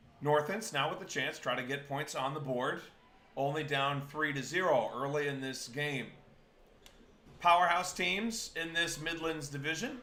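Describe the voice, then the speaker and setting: In an American accent, a man talks at a moderate pace with a fairly high pitch and ordinary pitch variation. Audible room echo surrounds the voice. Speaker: camera operator filling in on commentary. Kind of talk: live sports commentary.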